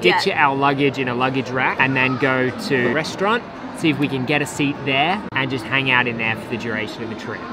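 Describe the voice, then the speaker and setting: The voice moves at a fairly quick pace, with a dry sound lacking echo and noticeable background noise. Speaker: travel vlogger. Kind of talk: casual vlog chat. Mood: amused, relaxed. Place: station. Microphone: phone near.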